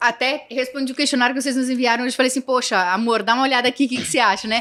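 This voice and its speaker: Her voice is high-pitched, bright and sharp, with fairly even intonation. This woman speaks at a very fast pace. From Santa Catarina, southern Brazil. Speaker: entrepreneur. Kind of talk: podcast interview.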